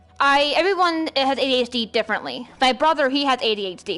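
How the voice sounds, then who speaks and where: Her pitch is high and her intonation lively as a woman talks at a fairly quick pace. Noticeable background noise is present. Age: 20s. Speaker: video game streamer. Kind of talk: casual chat. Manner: fast.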